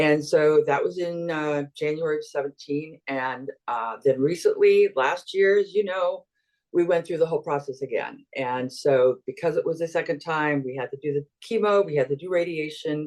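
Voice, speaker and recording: A woman speaks in a very deep, low voice. She keeps a moderate pace with ordinary pitch variation. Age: 60s. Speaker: program participant sharing success story. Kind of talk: testimony.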